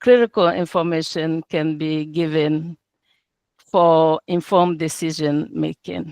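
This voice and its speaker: A woman with a non-native accent and a very deep, low pitch, using fairly even intonation at a fairly slow pace, in a dry, close sound with no echo. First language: not English. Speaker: entrepreneur presenting business, translator and interpreter. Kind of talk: business pitch presentation. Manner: halting, with filler words.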